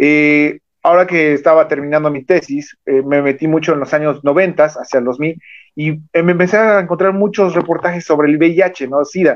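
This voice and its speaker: A man with a Mexican accent and fairly even intonation. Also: fairly high pitch for a man, moderate pace. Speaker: podcast host. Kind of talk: interview.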